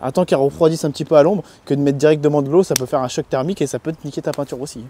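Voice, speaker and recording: A man's fairly high voice has a dark, mellow tone, recorded with a dry, close sound and no echo. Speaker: car detailing youtuber. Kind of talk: casual tutorial. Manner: loud.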